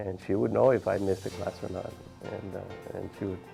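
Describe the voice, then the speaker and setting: Music plays in the background as a man with an American accent speaks at a fairly quick pace. His pitch is fairly low. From South Texas, Brownsville. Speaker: physician. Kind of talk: interview testimony.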